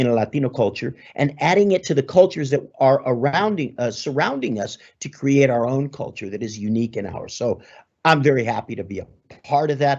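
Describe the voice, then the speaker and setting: Speaking with a Southern California accent, a man of medium pitch talks at a fairly quick pace. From Los Angeles, Southern California. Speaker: sports broadcaster. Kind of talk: guest talk.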